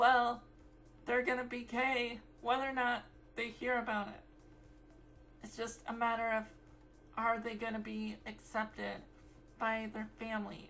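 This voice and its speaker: Against music in the background, a woman speaks fairly slowly in a fairly high voice, flat and monotone, with long, frequent pauses. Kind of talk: casual talk to camera. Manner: rambly.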